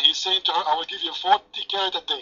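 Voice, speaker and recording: A very fast-talking man with a French accent. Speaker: paltalk room moderator and debater. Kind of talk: heated debate. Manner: mocking, animated.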